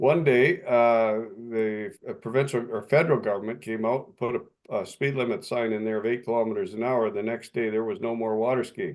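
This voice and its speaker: A man with a Canadian accent and an ordinary speaking voice talks at a fairly quick pace. His pitch is medium with ordinary variation, and his loudness swings a lot. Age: 60s. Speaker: municipal official and lake resident. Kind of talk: video call meeting discussion.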